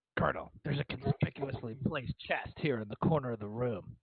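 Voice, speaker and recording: At a fairly quick pace, a man puts on a raspy character voice of medium pitch with ordinary pitch variation. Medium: actual play. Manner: terse, gravelly deadpan.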